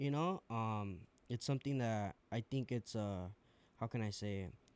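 The sound is dry and close, with no echo. A man speaks at a medium pitch in an unremarkable speaking voice, with ordinary pitch variation. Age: 20s. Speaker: bartender. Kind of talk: casual chat.

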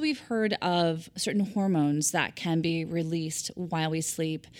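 In a very clean recording with a silent background, a woman with a plain, everyday voice speaks at a moderate pace and a fairly low pitch. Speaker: podcast host. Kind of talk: interview intro and host questions, branded podcast.

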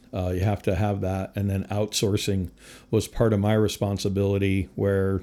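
In an American accent, a man speaks in a fairly low pitch with a dark, mellow tone and monotone, flat intonation on a very clean recording with a silent background. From US Northeast, Connecticut. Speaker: firefighter and fire equipment sales manager. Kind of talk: casual interview.

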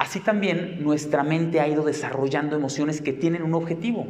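A man speaks in an animated tone. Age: 40s. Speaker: psychotherapist and speaker. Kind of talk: talk to a live audience.

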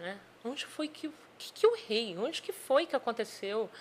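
The woman's pitch swings very widely. She keeps a moderate pace. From Espírito Santo, Brazil (Vila Velha). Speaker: sales and HR business mentor. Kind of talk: podcast interview.

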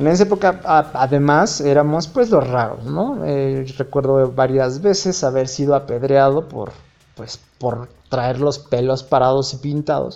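With a normal speaking voice at fairly high pitch, a man talks at a fairly slow pace, showing ordinary pitch variation and big swings in loudness. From Mexico, Hidalgo. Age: 30s. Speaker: podcaster. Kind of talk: casual monologue. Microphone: phone recording.

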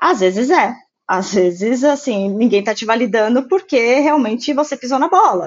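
Lively intonation in a woman's high voice. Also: moderate pace. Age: 30s. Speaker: office worker in foreign trade. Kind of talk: casual chat.

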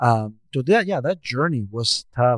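A man with a Mexican accent speaks at a medium pitch and a moderate pace. The sound is dry and close with no echo, on a very clean recording with a silent background. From Mexico. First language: Spanish. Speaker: equity consultant and speaker. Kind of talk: podcast interview.

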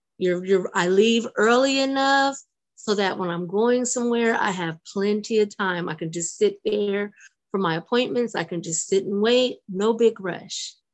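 A woman speaks at a medium pitch and a fairly slow pace. Her pitch varies in an ordinary way. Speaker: spiritual circle participant. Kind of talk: casual chat. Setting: video call.

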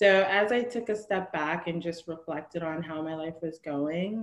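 With an American accent, a woman at a fairly low pitch has a plain, everyday voice, with ordinary pitch variation and a moderate pace. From New Jersey. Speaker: consultant in tech. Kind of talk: interview.

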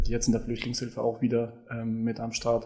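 The tone of this man's voice is dark, mellow and somewhat breathy. He keeps to a moderate pace. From Kosovo and Germany. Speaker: homeless aid coordinator. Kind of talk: interview.

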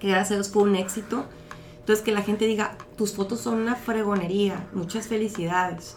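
A woman at medium pitch talks at a fairly quick pace with fairly even intonation, over noticeable background noise. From Mexico, Mexicali (Baja California). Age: 30s. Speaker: model and modeling agency manager. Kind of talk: casual interview.

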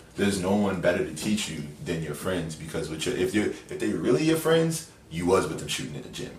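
Fairly low in pitch yet swinging very widely, a man's voice moves at a fairly quick pace with big swings in loudness and audible room echo. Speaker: podcast guest, friend of host. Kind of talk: casual chat.

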